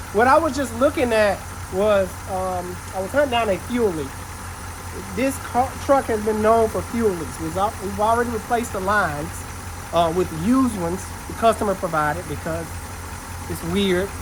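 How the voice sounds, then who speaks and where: A man speaks with long, frequent pauses amid noticeable background noise and audible room echo. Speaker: auto mechanic and shop owner. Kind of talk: shop vlog, casual talk to camera. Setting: auto repair shop. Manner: fast.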